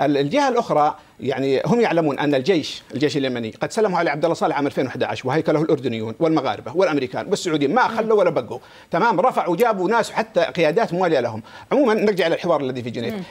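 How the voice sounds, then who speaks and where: This man talks at a very fast pace with hardly any pauses. His fairly high pitch makes very wide swings. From Yemen, Saada; Yemen. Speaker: political analyst; guest. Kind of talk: heated debate. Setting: studio. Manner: animated. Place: studio. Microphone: lapel.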